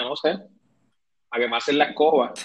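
A man's unremarkable speaking voice, fairly high in pitch, at a fairly quick pace. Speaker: podcast host. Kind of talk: casual chat.

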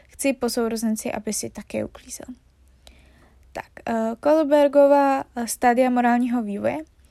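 The speech has fairly even intonation but big swings in loudness. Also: woman, high pitch for a woman, moderate pace. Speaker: podcast host explaining psychology. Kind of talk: casual chat; educational reading of study notes. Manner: stumbling over words, self-correcting.

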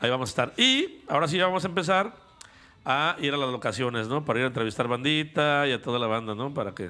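In a Mexican accent, a man speaks very fast with lively intonation. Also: fairly high pitch for a man. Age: 40s. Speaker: podcast co-host. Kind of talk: casual chat. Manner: animated.

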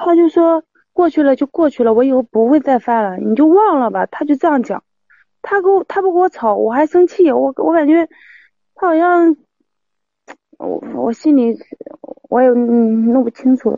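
Pausing long and often, a woman with a high voice speaks at a moderate pace with lively intonation. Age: 30s. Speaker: caller seeking advice on husband's affair. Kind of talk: call-in advice conversation.

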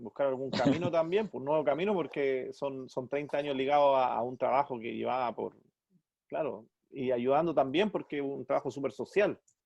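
A man speaks at a moderate pace with a fairly high pitch, ordinary pitch variation and a Chilean accent. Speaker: podcast host, musician. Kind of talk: casual interview.

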